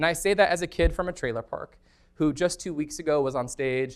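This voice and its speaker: A man with a General American accent speaks on a very clean recording with a silent background. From Colorado, north of Denver. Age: 30s. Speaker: former state senator and organizer. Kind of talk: lecture. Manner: animated.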